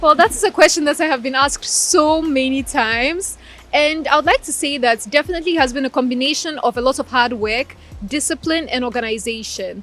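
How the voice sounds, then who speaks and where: At a fairly quick pace, a woman with a Russian accent talks in a high pitch with ordinary pitch variation. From Ukraine (Crimea) and Ghana. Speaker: law graduate. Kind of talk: interview.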